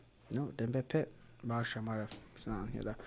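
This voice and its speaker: The voice is somewhat breathy, with an American accent. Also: man. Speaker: podcast co-host. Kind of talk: casual banter podcast chat.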